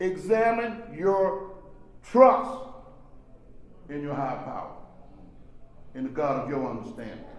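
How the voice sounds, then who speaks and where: At a fairly slow pace with long, frequent pauses, a man speaks in a high pitch with very wide pitch swings and big swings in loudness, amid audible room echo and noticeable background noise. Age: 60s. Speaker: recovery workshop speaker. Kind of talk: testimony. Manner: animated.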